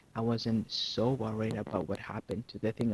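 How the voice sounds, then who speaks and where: In a very clean recording with a silent background, a man speaks at a moderate pace in a somewhat breathy voice. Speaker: youtuber. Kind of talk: casual vlog monologue. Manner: halting.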